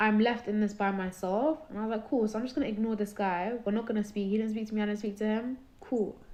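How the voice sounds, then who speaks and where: A woman in a British accent speaks fairly quickly with a fairly high pitch. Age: 20s. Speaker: caller sharing personal story. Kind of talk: testimony.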